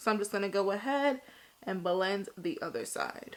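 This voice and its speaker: Ordinary pitch variation marks a woman's speech, with noticeable noise in the background. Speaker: beauty vlogger. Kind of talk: tutorial. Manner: casual, chatty.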